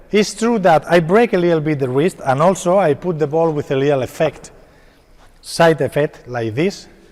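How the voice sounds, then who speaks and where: A man with a Spanish accent at a moderate pace, fairly high in pitch, with ordinary pitch variation. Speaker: padel coach. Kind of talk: tutorial. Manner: halting.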